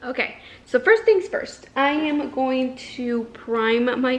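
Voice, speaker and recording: A woman speaks in a high pitch. Noticeable background noise runs behind her. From northern Mexico, Ciudad Juarez (border with El Paso). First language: Spanish. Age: 20s. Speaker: beauty vlogger. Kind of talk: casual get-ready-with-me vlog talk.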